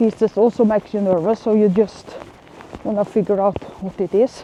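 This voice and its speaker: The speaker has a non-native accent and monotone, flat intonation at a moderate pace. The sound is dry and close with no echo, and there is noticeable background noise. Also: woman. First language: not English. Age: 40s. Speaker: vlogger. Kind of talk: casual vlog monologue. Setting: outdoors walking in the rain. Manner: halting, many fillers.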